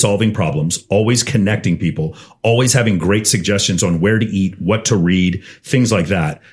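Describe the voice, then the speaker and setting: Somewhat breathy and animated, a man with an American accent speaks fairly quickly at a fairly low pitch with ordinary pitch variation. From Texas, Austin. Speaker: podcast guest, CEO and dating coach. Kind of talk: casual podcast interview. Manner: fast.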